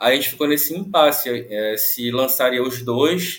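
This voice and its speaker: The man talks at a medium pitch in an unremarkable speaking voice. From Brazil, Pará (Santarém). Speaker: novelist. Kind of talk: casual interview.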